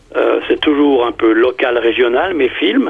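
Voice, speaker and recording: Noticeable background noise is present. A man is talking. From Switzerland, canton of Fribourg. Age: 70s. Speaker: amateur filmmaker. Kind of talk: radio interview. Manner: halting, many hesitations and repetitions.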